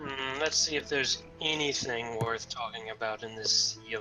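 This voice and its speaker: A raspy, put-on character voice moves at a moderate pace with clear music in the background. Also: man, medium pitch for a man. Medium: actual play. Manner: haughty, disdainful.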